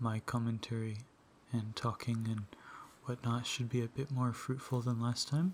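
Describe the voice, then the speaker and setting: At a moderate pace, the speaker talks in a soft-spoken voice with a relaxed tone. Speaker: ASMR gaming YouTuber. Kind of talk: casual gaming commentary to camera. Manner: soft-spoken, relaxed.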